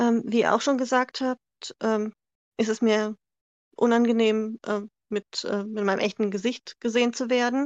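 A woman speaks at a fairly slow pace in a fairly high pitch, her flat, monotone delivery broken by long, frequent pauses against a quiet background. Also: dry, close sound with no echo. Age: 40s. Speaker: NASCAR fan from online community. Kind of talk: interview.

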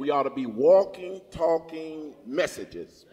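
A man speaks at a fairly slow pace with a fairly high pitch. Noticeable background noise can be heard behind him. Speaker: preacher. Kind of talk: sermon. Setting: church with congregation. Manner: exuberant, punctuated with laughter and praise.

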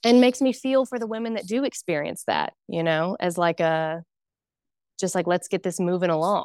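A woman speaks with a plain, everyday voice at medium pitch. Her pace is moderate and her intonation lively. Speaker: doula and postpartum care specialist. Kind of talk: casual interview chat, telling birth story.

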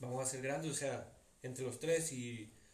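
Delivered at a moderate pace, the speech carries audible room echo and noticeable background noise. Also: man. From Tepic, Nayarit, Mexico. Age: 20s. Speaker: rapper and nursing student. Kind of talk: casual chat.

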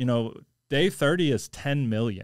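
With an American accent, a man talks at a very slow pace, his medium pitch showing ordinary variation. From US Midwest, St. Louis area. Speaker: jiu-jitsu instructor and Air Force veteran. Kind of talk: casual chat.

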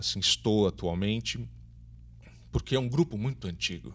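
With lively intonation and a moderate pace, a man talks in an unremarkable speaking voice on a very clean recording with a silent background. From São Paulo, Brazil. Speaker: theatre teacher and director. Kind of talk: interview.

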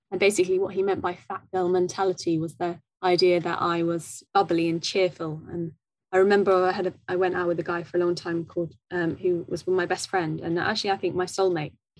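A woman speaks at a fairly quick pace in a fairly low pitch. Her intonation is monotone and flat. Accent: southern English. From southwest London, England. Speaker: guest speaking about her eating disorder. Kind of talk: interview about personal experience. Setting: video call.

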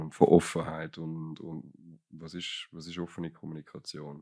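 Moderate-paced male speech on a very clean recording, the background silent. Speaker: podcast co-host. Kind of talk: casual chat. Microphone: too far from the microphone.

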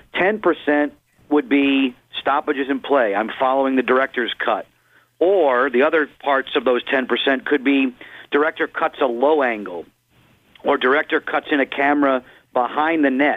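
This man has an unremarkable speaking voice, fairly high in pitch, moving at a moderate pace with ordinary pitch variation and very even loudness. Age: 50s. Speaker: hockey play-by-play broadcaster. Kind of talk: radio interview.

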